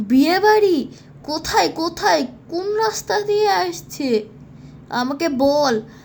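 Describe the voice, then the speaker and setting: Over clear background noise, a woman cackles in a high-pitched cartoonish character voice at a very slow pace. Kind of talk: comic horror cartoon. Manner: cackling, greedy.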